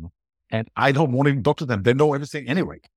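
The speaker has an Austrian accent. The sound is dry and close, with no echo. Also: man, very clean recording, silent background. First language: German. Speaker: podcast guesting strategist. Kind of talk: interview answers.

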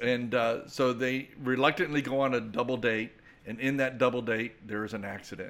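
An ordinary speaking voice with an American accent. The pace is moderate and the intonation fairly even. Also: man, medium pitch for a man. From Tampa Bay, Florida. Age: 60s. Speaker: pastor and ministry leader. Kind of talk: casual interview.

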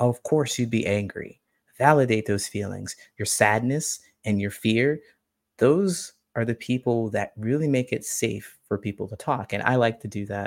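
In a very clean recording with a silent background, a man speaks at a medium pitch with ordinary pitch variation in an ordinary speaking voice. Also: moderate pace. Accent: American. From small-town Ohio, US Midwest. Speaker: social connection coach. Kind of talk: interview.

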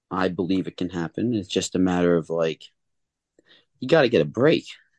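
A man's very deep, low voice at a moderate pace, with long, frequent pauses, in a dry, close sound with no echo over a quiet background. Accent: American. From US Northeast. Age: 30s. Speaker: singer-songwriter and producer. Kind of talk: casual interview chat.

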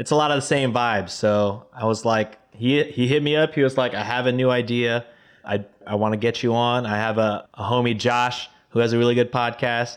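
Speaking at a fairly quick pace with fairly even intonation, a man with an American accent has an ordinary speaking voice at medium pitch. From Texas. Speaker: podcast host. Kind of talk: casual chat.

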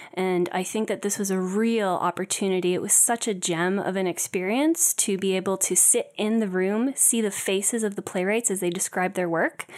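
In a very clean recording with a silent background, a woman speaks at a moderate pace with hardly any pauses. Her pitch is medium and its variation ordinary. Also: very even loudness. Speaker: guild staffer. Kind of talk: casual interview. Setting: studio with live audience. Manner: hesitant, filler words.

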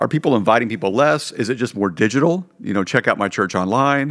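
A man talks in a plain, everyday voice at a fairly quick pace. His pitch variation is ordinary. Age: 50s. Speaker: pastor and podcast host. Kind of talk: casual interview chat.

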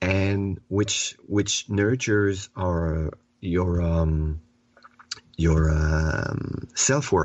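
Very slowly, a man with a French accent speaks in a very deep, low pitch with ordinary pitch variation. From Quebec. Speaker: children's author and therapist. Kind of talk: interview. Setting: remote call from home.

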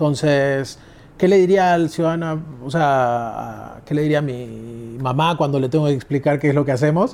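With ordinary pitch variation, the man talks at a moderate pace in a fairly high pitch. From Argentina, Buenos Aires. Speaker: crypto exchange executive. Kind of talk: interview. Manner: halting, with many fillers.

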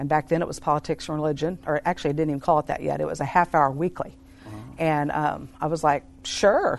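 Speaking very fast, a woman with a very deep, low pitch uses monotone, flat intonation and vocal fry. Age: 50s. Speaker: ministry team member. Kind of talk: casual interview. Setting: studio.

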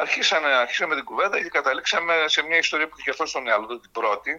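Ordinary pitch variation marks a man's voice with a bright, sharp tone. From Thessaloniki, northern Greece. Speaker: writer. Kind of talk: interview.

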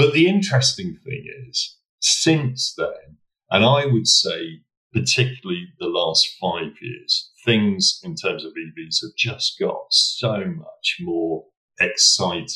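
A very slow man's voice with an English accent and big swings in loudness. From England, Norwich. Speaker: motoring organisation president. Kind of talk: interview.

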